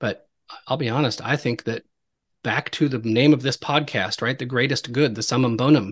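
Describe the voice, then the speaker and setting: Medium-pitched male speech in a plain, everyday voice, fairly even in intonation and moderate in pace, with a dry, close sound, no echo and a quiet background. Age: 40s. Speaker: podcast host. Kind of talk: casual chat.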